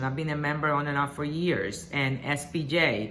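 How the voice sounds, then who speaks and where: A woman speaks with a Spanish accent at a moderate pace. Audible room echo and noticeable background noise surround her. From Puerto Rico. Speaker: journalist and association board candidate. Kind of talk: campaign video address. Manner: hesitant, with many fillers.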